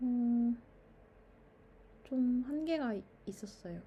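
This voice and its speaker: A woman speaking at a very slow pace. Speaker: YouTuber. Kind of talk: casual monologue. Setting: recording at mother's home. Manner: stream of consciousness, with fillers.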